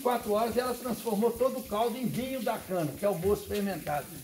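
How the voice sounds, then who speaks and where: A man speaks at a high pitch and a fairly quick pace, with ordinary pitch variation. Noticeable background noise can be heard. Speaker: cachaça distillery owner, tour guide. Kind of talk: guided tour. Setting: on-site tour of distillery.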